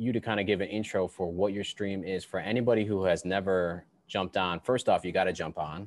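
With a normal speaking voice and an American accent, a man talks at a moderate pace and a fairly low pitch with fairly even intonation, in a very clean recording with a silent background. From Buffalo, New York. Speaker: podcast host and musician. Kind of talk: casual interview.

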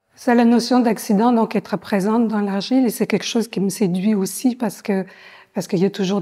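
A woman speaks at a fairly quick pace in a dark, mellow, somewhat breathy voice. Her intonation stays fairly even over a quiet background. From France. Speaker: visual artist, ceramist. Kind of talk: interview. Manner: hesitant, with frequent fillers and repetitions. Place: hall. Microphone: lapel.

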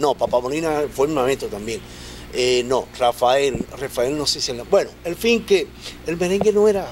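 A man with an ordinary speaking voice talks at a moderate pace and fairly high pitch, with lively intonation over light background noise. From Dominican Republic, Los Minas, Santo Domingo; Dominican Republic. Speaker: merengue musician and composer; guest. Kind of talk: interview. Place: studio. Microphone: studio mic.

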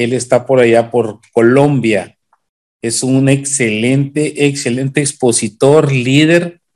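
Against a quiet background, a man in a Mexican accent speaks at a very slow pace with fairly even intonation. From Mexico. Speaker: webinar host and moderator. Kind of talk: meeting host introduction. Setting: video call. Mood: upbeat, welcoming. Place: home room. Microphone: video call.

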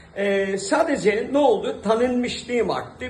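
A man talks at a moderate pace with lively intonation. There is audible room echo and noticeable background noise. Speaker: actor. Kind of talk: interview. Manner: hesitant with frequent fillers.

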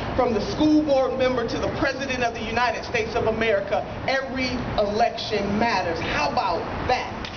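Against noticeable background noise, a woman talks at a fairly quick pace. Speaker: politician. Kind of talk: rally speech. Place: street. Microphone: podium.

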